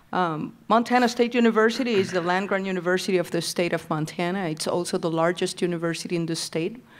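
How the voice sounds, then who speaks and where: A woman with a Puerto Rican accent, very fast with hardly any pauses, on a very clean recording with a silent background. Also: medium pitch for a woman, ordinary pitch variation. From Puerto Rico. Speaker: university president, board member. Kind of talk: formal introduction at public meeting. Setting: public meeting with audience.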